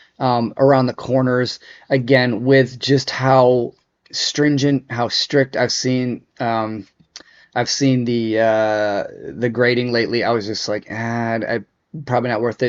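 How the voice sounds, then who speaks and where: A man's monotone, flat delivery at a fairly slow pace. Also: medium pitch for a man. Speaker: sports card collector and video host. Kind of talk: casual unboxing reveal. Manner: hesitant, many fillers.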